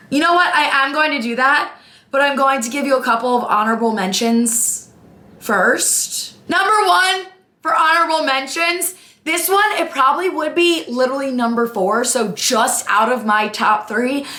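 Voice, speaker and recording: A woman speaks at a moderate pace in a raised, projected voice, her tone energetic and her pitch high. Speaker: sports content creator. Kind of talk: casual talk to camera. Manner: energetic, chatty.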